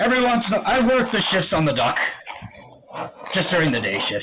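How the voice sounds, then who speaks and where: A man performs a put-on character voice. His pitch is high. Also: fairly quick pace. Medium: actual play. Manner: hearty, gruff, friendly.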